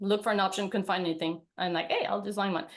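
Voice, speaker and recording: A woman speaks in a Quebec accent. Her pitch is medium, and the background is quiet. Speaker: veterinarian. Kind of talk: webinar presentation.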